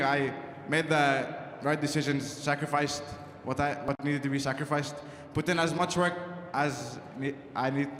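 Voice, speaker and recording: Speaking at a moderate pace with a non-native accent, a man keeps his loudness very even and leaves long, frequent pauses. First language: not English. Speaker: college squash champion. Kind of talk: victory speech. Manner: halting.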